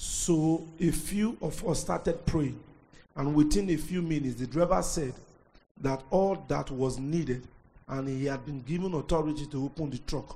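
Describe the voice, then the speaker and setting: Somewhat breathy with a dark, mellow tone, this man has a fairly high pitch, ordinary pitch variation and a moderate pace. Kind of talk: reading aloud.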